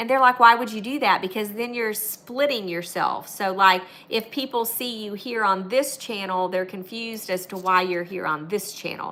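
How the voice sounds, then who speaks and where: A woman talks at a moderate pace with hardly any pauses, her fairly high voice showing ordinary pitch variation. Noticeable background noise is present. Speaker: YouTuber and online business coach. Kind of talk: live stream talk. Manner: loud; animated.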